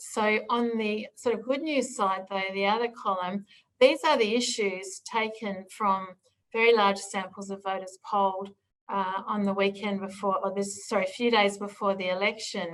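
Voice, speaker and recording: In an Australian accent, a woman speaks at a moderate pace. Her medium-pitched voice carries fairly even intonation. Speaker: political strategy consultant. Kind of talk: presentation.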